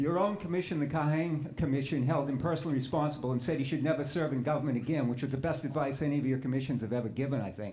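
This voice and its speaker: A man at a fairly high pitch with ordinary variation, at a very fast pace, amid audible room echo. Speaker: audience member. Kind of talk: heated debate. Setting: in audience, away from the microphone.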